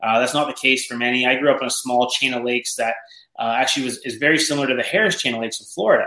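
A man in an Ontario accent at a very fast pace, medium in pitch, with ordinary pitch variation. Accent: Canadian (Ontario). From Canada, Ontario (north of Toronto). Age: 30s. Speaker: professional bass angler. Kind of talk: casual interview chat.

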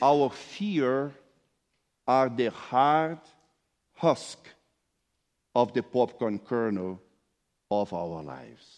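Speaking very slowly with a non-native accent, a man at a medium pitch makes very wide pitch swings against a quiet background. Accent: foreign-accented English. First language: not English. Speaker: pastor. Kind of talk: sermon. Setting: church.

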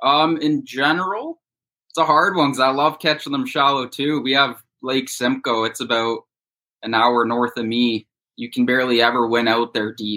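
A man's bright, sharp voice at a moderate pace with fairly even intonation. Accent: Canadian. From Ontario, Canada (Bowmanville, east of Toronto). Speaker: professional bass angler. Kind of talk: casual interview.

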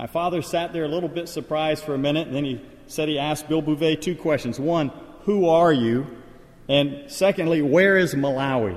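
Noticeable background noise sits behind a man talking at a fairly quick pace. His pitch is fairly high, with ordinary pitch variation. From Liberia. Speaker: missionary preacher. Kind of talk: sermon. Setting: church.

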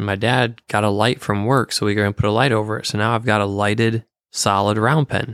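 Heard as dry, close sound with no echo, a man with an ordinary speaking voice talks at a fairly quick pace. His pitch is fairly low and his intonation fairly even. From Michigan. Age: 30s. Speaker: horse trainer. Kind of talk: casual interview.

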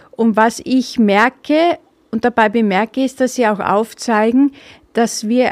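Recorded with a dry, close sound with no echo, a woman speaks at a fairly slow pace in a fairly high pitch with ordinary pitch variation. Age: 50s. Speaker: political podcaster. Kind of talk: opinion monologue. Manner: hesitant with filler sounds.

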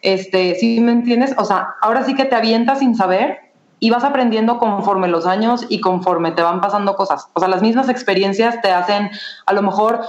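With a Mexican accent, a woman speaks at a fairly high pitch and fairly quick pace, with ordinary pitch variation and very even loudness. There is audible room echo and noticeable background noise. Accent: Mexican Spanish (Jalisco). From Mexico, Guadalajara. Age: 20s. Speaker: entrepreneur. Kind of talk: interview.

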